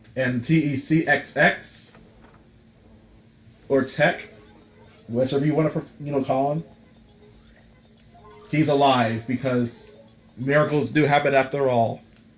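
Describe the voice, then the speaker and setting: Against music in the background, the voice moves at a fairly slow pace with monotone, flat intonation and long, frequent pauses. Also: man, fairly high pitch for a man. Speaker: gamer. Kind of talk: let's play commentary. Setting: laptop mic. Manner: casual, sarcastic.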